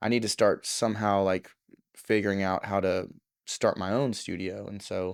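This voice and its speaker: In an American accent, a man speaks at a fairly low pitch and moderate pace with monotone, flat intonation on a very clean recording with a silent background. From US South, Southeast Texas. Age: 30s. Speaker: studio owner and producer. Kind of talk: casual interview chat. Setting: recording studio.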